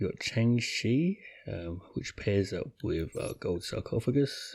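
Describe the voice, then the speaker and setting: A man whispers at a very slow pace, his voice somewhat breathy. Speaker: gaming YouTuber. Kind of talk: gameplay commentary. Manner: whispering; rambling with frequent fillers.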